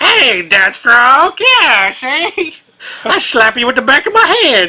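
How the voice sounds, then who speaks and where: A woman performs in a put-on character voice. Her high pitch swings very widely. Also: fairly slow pace. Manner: slow, old-fashioned.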